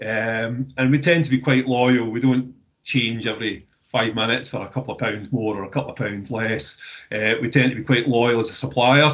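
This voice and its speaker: A man with a Scottish accent, medium pitch, fairly even intonation and a moderate pace. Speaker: waste recycling business representative. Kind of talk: webinar discussion. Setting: online webinar. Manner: halting, many repeated words.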